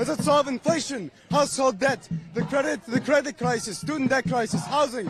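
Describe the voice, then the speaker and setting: Against noticeable background noise, a man with a non-native accent speaks at an extremely high pitch. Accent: foreign. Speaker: protester. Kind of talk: street interview.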